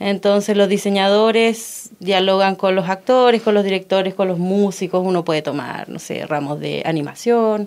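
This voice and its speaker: The speaker has a normal speaking voice with fairly even intonation. The pace is moderate, with hardly any pauses. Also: woman, medium pitch for a woman. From Chile, Los Ángeles (Biobío). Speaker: stage designer and performance artist. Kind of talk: radio interview.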